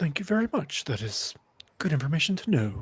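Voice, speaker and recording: This is a put-on character voice with very wide pitch swings. It moves along at a fairly quick pace. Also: man. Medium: actual play. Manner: polite, hesitant.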